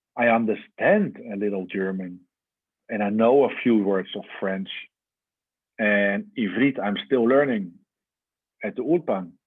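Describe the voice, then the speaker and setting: With a Dutch accent, a man speaks at a fairly slow pace. His voice is fairly low, with ordinary pitch variation. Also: long, frequent pauses, big swings in loudness. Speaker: religious teacher. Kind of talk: lecture.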